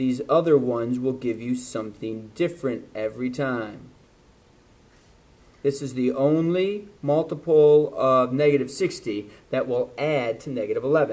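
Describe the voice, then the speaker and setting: A man with a plain, everyday voice talks at moderate speed, his medium pitch showing ordinary variation. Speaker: math teacher. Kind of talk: lecture.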